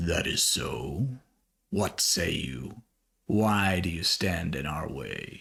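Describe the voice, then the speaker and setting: In a put-on character voice, a man growls out his words at a very slow pace, raspy and very deep and low in pitch, with lively intonation. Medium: actual play. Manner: formal, curt.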